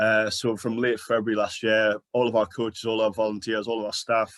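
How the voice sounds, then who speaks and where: A man talks at a fairly quick pace in a medium-pitched, monotone voice with flat intonation. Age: 40s. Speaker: sports charity manager. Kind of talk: conference presentation.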